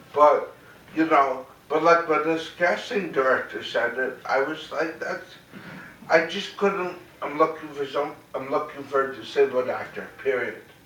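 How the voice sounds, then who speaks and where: Through audible room echo and noticeable background noise, a man with a fairly high pitch speaks with fairly even intonation. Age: 30s. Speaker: theater director and actor. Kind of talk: talk to audience. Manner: articulate; repetitive, halting restarts.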